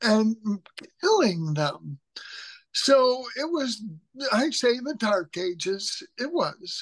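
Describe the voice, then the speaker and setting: A woman with an American accent, fairly high pitch and very wide pitch swings. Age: 60s. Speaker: writer and humorist. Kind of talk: interview, personal story.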